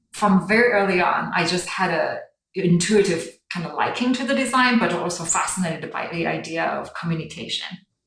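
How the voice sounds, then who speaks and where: Over music in the background and audible room echo, a woman with a Chinese accent speaks at medium pitch and a moderate pace, with ordinary pitch variation. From China. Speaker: brand design director. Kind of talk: interview.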